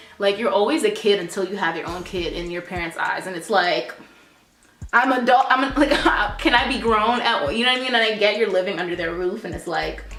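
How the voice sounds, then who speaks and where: A woman with an American accent talks at a fairly quick pace with big swings in loudness, amid audible room echo and noticeable background noise. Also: medium pitch for a woman, lively intonation. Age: 20s. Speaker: beauty vlogger. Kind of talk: casual chat. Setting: home. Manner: fast.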